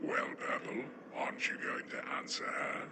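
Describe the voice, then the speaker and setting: A man's put-on character voice at a moderate pace, with slight echo and loud background noise. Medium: audio drama.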